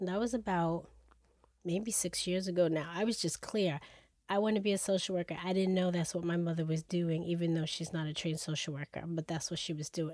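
In a very clean recording with a silent background, a woman talks fairly quickly at a fairly low pitch with fairly even intonation. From New York. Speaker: licensed social worker. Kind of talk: casual conversational podcast.

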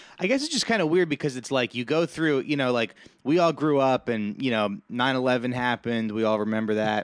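With an unremarkable speaking voice and an American accent, a man talks at a fairly quick pace and medium pitch with ordinary pitch variation, the sound dry and close with no echo over a quiet background. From New Jersey. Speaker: podcast host, new father. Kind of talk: casual chat.

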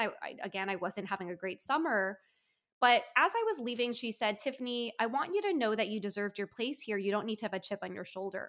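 In a plain, everyday voice with an American accent, a woman talks fairly quickly at a fairly high pitch with ordinary pitch variation, on a very clean recording with a silent background. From US, Washington D.C. suburbs. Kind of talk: interview conversation.

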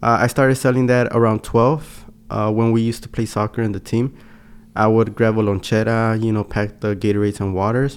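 A plain, everyday voice: a man at medium pitch with fairly even intonation speaks at a fairly quick pace. The recording is very clean, with a silent background. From Los Angeles, South Central (moved from Mexico age 4). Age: 20s. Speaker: entrepreneur, podcast co-host. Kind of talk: casual chat.

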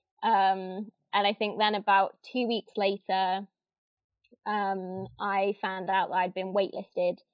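A woman with an East Midlands accent at medium pitch, very slow, with monotone, flat intonation. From Northampton, England. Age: 20s. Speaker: former theme park worker. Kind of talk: interview.

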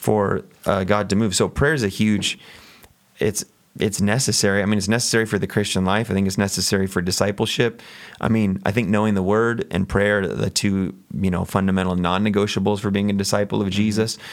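A man with a plain, everyday voice speaks at a fairly quick pace and a fairly low pitch. His loudness is very even and his intonation fairly even. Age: 40s. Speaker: pastor. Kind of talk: casual chat.

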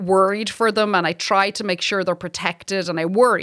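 A woman with an Irish accent at a moderate pace, in a very clean recording with a silent background. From Ireland (Republic). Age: 40s. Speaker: stand-up comedian. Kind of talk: casual chat. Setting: studio.

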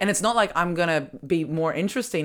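With an Australian accent, a woman talks at a very fast pace and ordinary pitch variation. The recording is very clean, with a silent background. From Australia, Melbourne. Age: 30s. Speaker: comedy podcast host. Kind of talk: casual chat. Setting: at home.

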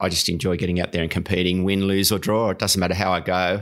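On a very clean recording with a silent background, a man with an Australian accent speaks in a very deep, low voice with monotone, flat intonation. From Australia, New South Wales Central Coast. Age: 50s. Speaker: masters swimmer and surf swimming coach. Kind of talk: casual interview. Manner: halting.

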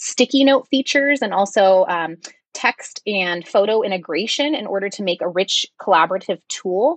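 A woman's unremarkable speaking voice, medium in pitch, with ordinary pitch variation and a dry, close sound free of echo. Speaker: instructional coach and podcast co-host. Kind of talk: casual podcast conversation. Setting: remote recording.

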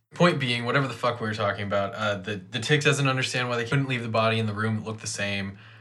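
Talking very fast with hardly any pauses, a man with an American accent keeps a medium pitch and fairly even intonation, with audible room echo. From Ohio. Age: 30s. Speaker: podcast co-host. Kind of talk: casual chat.

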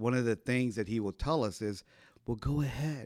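A man speaks with an ordinary speaking voice. His pace is moderate and his pitch varies in an ordinary way. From Ohio. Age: 50s. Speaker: pastor. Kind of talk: casual interview.

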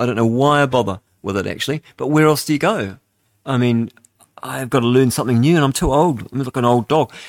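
In a very clean recording with a silent background, a man with a New Zealand accent talks at a fairly quick pace, medium in pitch with ordinary pitch variation. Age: 60s. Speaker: radio host. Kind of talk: talk radio monologue.

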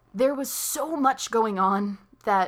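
Using a plain, everyday voice, a woman talks at medium pitch with ordinary pitch variation. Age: young. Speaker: podcast host. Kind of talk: casual chat.

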